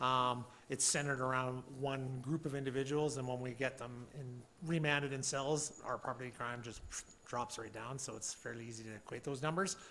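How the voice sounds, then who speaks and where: Audible room echo surrounds a man of medium pitch. His bright, sharp tone carries fairly even intonation. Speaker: police officer. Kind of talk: council meeting report. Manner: fast.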